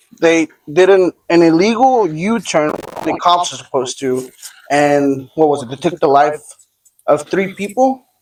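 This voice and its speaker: Speaking slowly-ish at a fairly slow pace, a man with an ordinary speaking voice and an American accent uses a fairly high pitch and lively intonation. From Texas. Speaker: podcast co-host. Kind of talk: casual chat while cooking.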